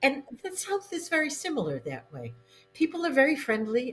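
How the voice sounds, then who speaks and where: Here a woman speaks with an American accent. Her voice is somewhat breathy. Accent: occasional Boston. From New England, Boston. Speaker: novelist. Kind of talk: interview.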